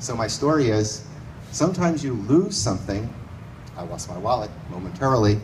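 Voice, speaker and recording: Over noticeable background noise and audible room echo, a man talks at a fairly quick pace with big swings in loudness and very wide pitch swings. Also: medium pitch for a man. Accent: American. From US Northeast, New York City. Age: 60s. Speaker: storyteller. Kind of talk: live storytelling. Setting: stage with audience in a bar.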